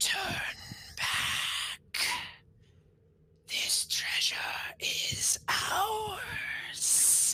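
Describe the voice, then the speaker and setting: Someone whispers in a put-on character voice. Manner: whispering.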